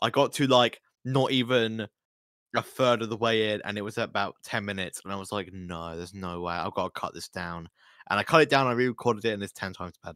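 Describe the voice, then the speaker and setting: In a very clean, dry, close recording with no echo and a silent background, a man with a British accent speaks quickly-ish at a fairly quick pace, his bright, sharp voice showing ordinary pitch variation. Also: big swings in loudness. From Britain. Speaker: YouTuber. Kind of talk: casual chat. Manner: halting.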